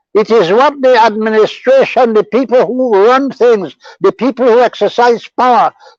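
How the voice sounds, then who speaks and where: A man's extremely high voice at a moderate pace, with ordinary pitch variation and a dry, close sound with no echo, over music in the background. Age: 80s+. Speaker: lawyer. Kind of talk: interview answer.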